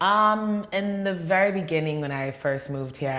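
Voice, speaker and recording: A woman with a New York accent talks at a fairly slow pace. Room echo is audible. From New York (Queens). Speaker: dancer and fitness trainer. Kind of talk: interview. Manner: casual, many fillers.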